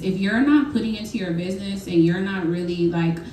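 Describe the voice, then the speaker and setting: A woman talks at a very fast pace, medium in pitch with ordinary pitch variation. Room echo is audible, and background noise is noticeable. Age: 30s. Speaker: business owner, panel speaker. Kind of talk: panel talk at networking event.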